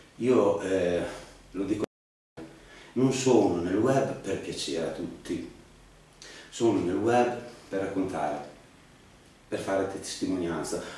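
A man with a fairly low pitch speaks at a very slow pace, leaving long, frequent pauses. Strong room echo fills the recording. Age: 50s. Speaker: cancer patient vlogger. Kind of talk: personal testimony monologue. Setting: home video studio. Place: home room. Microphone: camera far.

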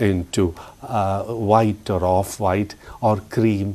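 His pitch is fairly low. The man's tone is dark and mellow. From Kerala. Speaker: astrologer. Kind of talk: astrology forecast talk. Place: studio. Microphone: lapel.

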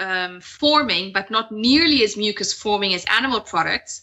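A woman speaks at a fairly high pitch with ordinary pitch variation. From Italy. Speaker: health and detox coach; podcast guest. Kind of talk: podcast interview. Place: home room. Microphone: video call.

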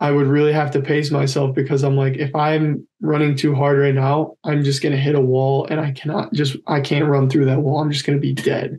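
Fairly quick and somewhat breathy, a man talks at a fairly high pitch in a monotone, flat intonation with very even loudness. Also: hardly any pauses. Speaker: college decathlete; podcast guest. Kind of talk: casual interview. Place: home room. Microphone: video call.

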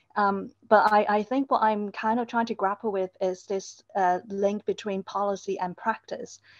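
Over a quiet background, a woman talks at a moderate pace with flat, monotone intonation and hardly any pauses. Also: dry sound with no echo. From Hong Kong. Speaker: university staff member, audience questioner; questioner. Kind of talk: question from audience. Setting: online seminar, camera off. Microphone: video call.

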